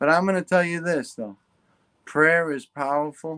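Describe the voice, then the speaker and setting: The man's fairly high voice, with ordinary pitch variation, sounds dry and close with no echo. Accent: New York. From New York, Long Island. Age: 40s. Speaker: guest with Parkinson's disease. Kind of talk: casual interview chat. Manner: animated.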